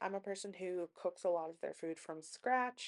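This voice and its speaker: A woman speaks at a moderate pace in an ordinary speaking voice, her intonation lively. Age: 20s. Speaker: lifestyle vlogger. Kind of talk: casual vlog talk. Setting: home kitchen. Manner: casual, with fillers.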